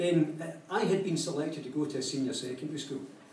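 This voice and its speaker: In a Glaswegian accent, a man with a fairly high voice speaks at a moderate pace amid audible room echo. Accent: Glaswegian Scottish. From Scotland, Glasgow. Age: 60s. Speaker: educator and speaker. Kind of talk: public talk. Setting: cafe talk with live audience.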